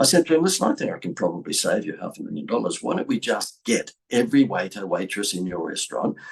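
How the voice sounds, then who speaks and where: A man with an Australian accent speaks at a fairly quick pace. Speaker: business coach and speaker. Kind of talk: marketing talk to camera. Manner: animated.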